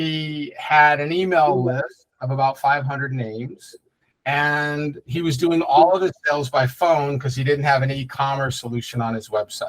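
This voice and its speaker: This man has an unremarkable speaking voice at a moderate pace. His pitch is fairly high, and his intonation is fairly even. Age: 60s. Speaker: digital marketing agency owner. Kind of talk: webinar presentation. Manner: casual, many filler words.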